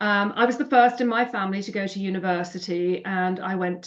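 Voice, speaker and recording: Here is a woman with a British accent. Her pitch variation is ordinary. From England, Birmingham. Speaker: finance industry leader and nonprofit founder. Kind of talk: interview.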